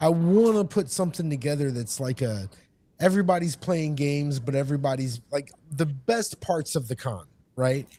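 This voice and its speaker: An American man speaks at a moderate pace with a fairly high pitch and an American accent. His tone is dark and mellow, and somewhat breathy. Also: lively intonation. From Texas. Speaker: gaming convention attendee. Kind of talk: casual chat.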